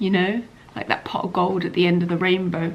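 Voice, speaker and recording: With a British accent, a woman speaks at medium pitch against noticeable background noise. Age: 40s. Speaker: doctor and vlogger. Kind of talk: casual vlog talk to camera. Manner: animated.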